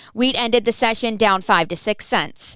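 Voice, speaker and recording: An unremarkable speaking voice from a woman, fairly high in pitch, fairly even in intonation, at a moderate pace, in a very clean recording with a silent background. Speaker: agricultural market news reporter. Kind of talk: radio farm market report.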